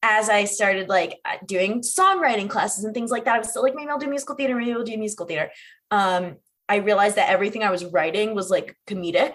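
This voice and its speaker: This woman has an American accent and a fairly high pitch with ordinary variation. She talks very fast. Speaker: actor and comedian. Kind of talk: casual chat.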